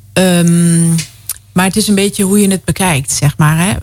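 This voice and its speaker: A woman speaks in a medium pitch. Her pitch variation is ordinary. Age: 40s. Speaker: guest sharing experience of involuntary childlessness. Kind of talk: radio interview. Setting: radio studio.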